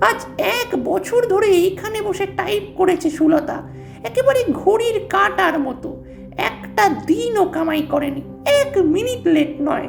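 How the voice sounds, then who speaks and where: A put-on character voice moves at a fairly slow pace. Music plays clearly in the background. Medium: read story. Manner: subdued, brooding.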